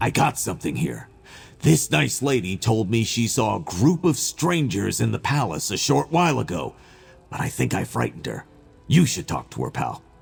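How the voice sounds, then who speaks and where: A man performs a put-on character voice. His pitch is fairly low. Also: moderate pace. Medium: video game. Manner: casual, friendly.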